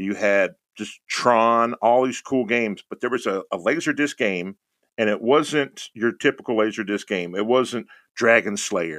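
In a plain, everyday voice with an American accent, a man speaks at medium pitch and a fairly slow pace with ordinary pitch variation, the sound dry and close with no echo over a quiet background. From Texas (Houston). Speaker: streamer. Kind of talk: casual chat.

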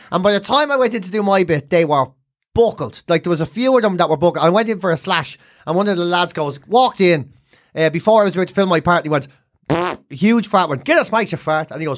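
Speaking at a very fast pace with an Irish accent, a high-pitched man uses lively intonation in a very clean recording with a silent background. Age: 40s. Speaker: comedian. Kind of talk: casual chat.

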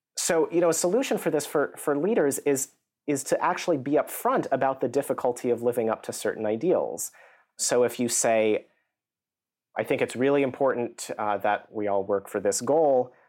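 In an American accent, an unremarkable speaking voice moves at a moderate pace with lively intonation, in a very clean recording with a silent background. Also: man, medium pitch for a man. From US. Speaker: psychology professor. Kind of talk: interview.

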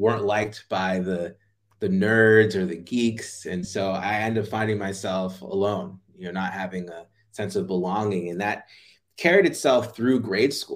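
This man has an unremarkable speaking voice with a fairly low pitch and an American accent. He talks at a moderate pace with fairly even intonation. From US, Jamaican family. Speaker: playfulness coach. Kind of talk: interview.

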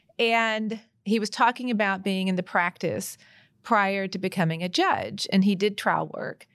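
A woman speaks at a moderate pace and medium pitch with fairly even intonation, a plain, everyday voice on a very clean recording with a silent background. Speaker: trial attorney. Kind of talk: casual roundtable discussion.

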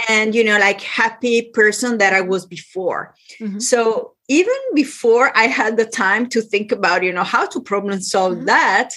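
A woman's fairly high, lively voice with an Italian accent, at a fairly slow pace. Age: 60s. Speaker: business and lifestyle consultant. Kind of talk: interview.

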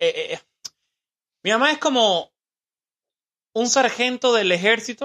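The sound is dry and close, with no echo. A man talks in a bright, sharp tone. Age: 20s. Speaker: podcast host. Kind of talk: casual interview with his mother. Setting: home studio.

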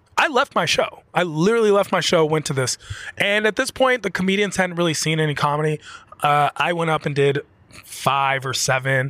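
A man's ordinary speaking voice with an American accent, fairly high in pitch, with lively intonation and a dry, close sound with no echo. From Washington D.C. area. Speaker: comedian. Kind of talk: casual chat. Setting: studio.

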